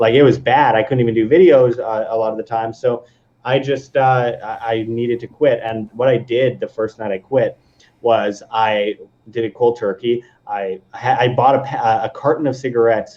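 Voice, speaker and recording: A man speaks in an ordinary speaking voice at medium pitch. His pace is moderate and his intonation fairly even. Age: 20s. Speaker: video creator and former musician. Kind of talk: casual chat. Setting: live stream.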